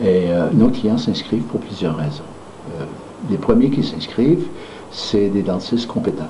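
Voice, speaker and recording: With a Quebec accent and a fairly low pitch, a man speaks at a fairly slow pace with long, frequent pauses and very wide pitch swings, amid audible room echo and noticeable background noise. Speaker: founder of a dental management training company. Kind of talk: promotional talk. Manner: hesitant, many fillers.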